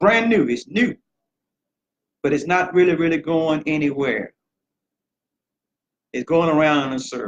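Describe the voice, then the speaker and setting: Fairly high male voice at a moderate pace, with ordinary pitch variation, big swings in loudness, and long, frequent pauses. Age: 60s. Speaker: political candidate. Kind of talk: campaign speech.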